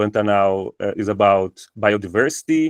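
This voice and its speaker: A man speaks at a moderate pace in a Brazilian Portuguese accent. His pitch is fairly low, and the background is quiet. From Brazil, Campo Grande. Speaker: university professor. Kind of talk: academic presentation. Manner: halting, many fillers.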